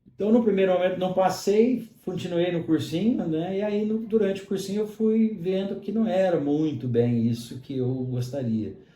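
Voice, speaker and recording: A man speaks at a moderate pace with a high pitch and lively intonation, in audible room echo. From Brazil, São Paulo state near Minas Gerais (Mococa). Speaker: pharmacist and university lecturer. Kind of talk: interview conversation. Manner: frequent fillers (né, é).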